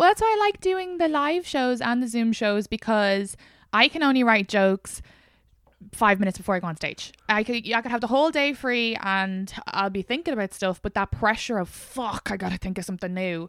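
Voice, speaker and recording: Speaking fairly quickly with an Irish accent, a woman uses a fairly high pitch and lively intonation in a very clean recording with a silent background and a dry, close sound with no echo. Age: 20s. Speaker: podcast host. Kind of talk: casual chat.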